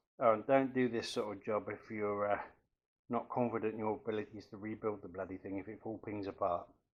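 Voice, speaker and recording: A man with an English accent speaks at a fairly quick pace, his intonation fairly even. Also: fairly low pitch for a man, big swings in loudness. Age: 60s. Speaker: DIY workshop vlogger. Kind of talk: tutorial. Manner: casual.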